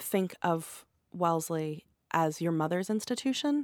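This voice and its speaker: A woman talks at a medium pitch, recorded very cleanly with a silent background. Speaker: college alumna. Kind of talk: recorded personal interview.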